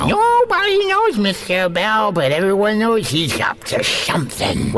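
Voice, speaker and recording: A man's put-on character voice at a moderate pace. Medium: audio drama. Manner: earnest, excitable.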